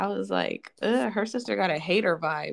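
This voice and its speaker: A woman with vocal fry speaks at a moderate pace in a medium pitch. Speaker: book podcast co-host. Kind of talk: casual chat.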